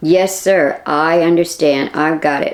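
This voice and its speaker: Raspy put-on character voice, delivered fairly slowly. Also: female-sounding voice. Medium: read story.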